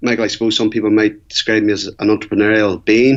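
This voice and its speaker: In an Irish accent, a man talks with a fairly low pitch. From Ireland. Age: 40s. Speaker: Ironman athlete and entrepreneur. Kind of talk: interview.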